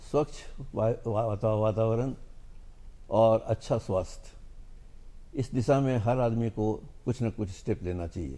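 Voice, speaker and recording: Long, frequent pauses mark a man's speech, which has a dark, mellow tone and ordinary pitch variation. The recording is very clean, with a silent background. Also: medium pitch for a man. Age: 70s. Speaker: pollution control board chairman, scientist. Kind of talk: TV interview.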